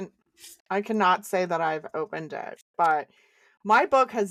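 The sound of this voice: Pitch moves in an ordinary way through an unforced reading voice. Nothing stirs in the background.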